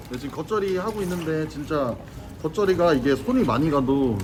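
Pitched fairly high, a man's voice comes through noticeable background noise. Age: 20s. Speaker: cafeteria restaurant owner. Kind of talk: casual cooking vlog narration.

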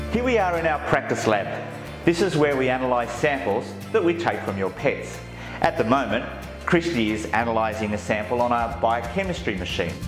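A man at a moderate speed, clear music playing behind him. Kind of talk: guided tour presentation.

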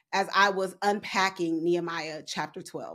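Quiet surroundings behind a female speaker. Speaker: Bible study teacher. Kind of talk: Bible study teaching. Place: home room. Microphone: studio mic.

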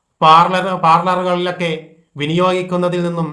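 A man's bright, sharp voice with audible room echo. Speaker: Islamic preacher. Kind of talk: religious talk. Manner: formal.

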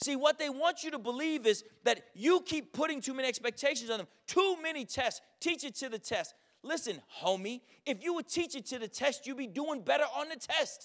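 Against a quiet background, a man speaks at a moderate pace with an energetic tone and lively intonation. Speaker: educator and keynote speaker. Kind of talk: conference keynote speech to a live audience. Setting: live event with audience. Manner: charismatic, humorous, blunt, energetic. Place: hall. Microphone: handheld.

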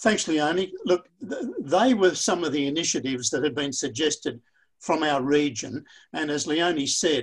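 Speaking at a fairly slow pace, a man with an Australian accent has a fairly high pitch, recorded over a quiet background. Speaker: pharmacist and workshop facilitator. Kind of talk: webinar facilitation. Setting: online video conference. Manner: halting, many repetitions. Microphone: webcam.

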